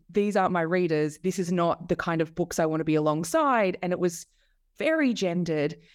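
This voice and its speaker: A woman with an Australian accent, medium pitch, lively intonation and a moderate pace, on a very clean recording against a silent background. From Australia, Melbourne. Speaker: author and media lecturer. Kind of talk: interview.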